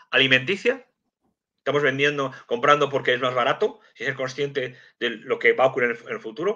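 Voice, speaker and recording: At a fairly quick pace, a man with a fairly high pitch speaks in a bright, sharp tone with ordinary pitch variation against a quiet background. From Madrid, Spain; Spain. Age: 50s. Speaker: geopolitics and intelligence analyst, civil servant; guest. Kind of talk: live stream interview. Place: home room. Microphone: video call.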